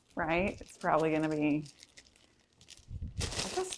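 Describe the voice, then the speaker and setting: A woman with a slight Southern US accent talks at a fairly slow pace over noticeable background noise. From Michigan via Florida. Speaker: cooking channel host and teacher. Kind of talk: casual live stream chat. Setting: livestream at home.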